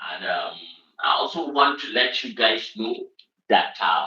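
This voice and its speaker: A man with a northern Nigerian accent at a fairly slow pace. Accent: northern Nigerian (Hausa) English. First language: Hausa. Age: 30s. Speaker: online show host. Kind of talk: livestream monologue. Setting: home room, livestream. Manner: frequent filler hesitations (um, uh).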